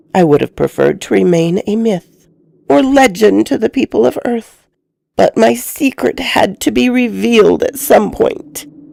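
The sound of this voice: Speaking at a fairly slow pace, a woman puts on a character voice with a fairly high pitch, a dark, mellow tone, vocal fry and lively intonation.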